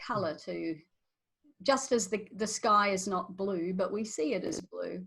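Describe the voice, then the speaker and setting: A woman with an Australian accent, medium pitch, ordinary pitch variation and a fairly slow pace. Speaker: podcast host. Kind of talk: interview.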